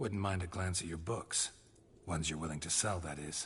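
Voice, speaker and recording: A man's put-on character voice, very deep, low and raspy, at a moderate pace over clear background noise. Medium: video game. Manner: terse, dry.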